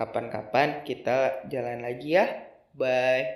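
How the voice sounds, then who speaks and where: The man's pitch is medium. He talks at a very slow pace. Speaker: storyteller podcaster. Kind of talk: storytelling narration, scripted-style tale read with dialogue.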